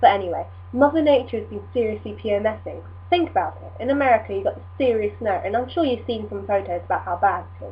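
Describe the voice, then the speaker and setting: Speaking very fast with an English accent, a woman's voice swings widely in loudness. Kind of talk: casual talk to camera.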